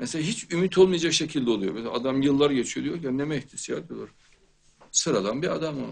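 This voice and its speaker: A man is speaking. His delivery moves at a fairly quick clip. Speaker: show host. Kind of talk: religious talk. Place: studio.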